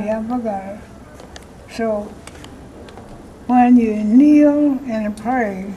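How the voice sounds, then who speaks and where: Fairly high-pitched female speech at a very slow pace, fairly even in intonation, with noticeable background noise. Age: old. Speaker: elderly interviewee, voter. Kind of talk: interview answer.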